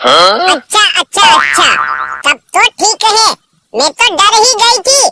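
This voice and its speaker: Squeaky and extremely high, a cartoonish character voice moves at a fairly slow pace while sound effects play in the background. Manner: sweet-talking, coy.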